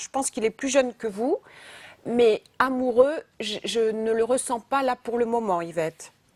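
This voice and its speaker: A woman speaks at a fairly slow pace in a high voice with ordinary pitch variation, recorded dry and close with no echo. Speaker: psychic medium. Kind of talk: live phone-in psychic reading. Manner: halting, many repetitions; direct.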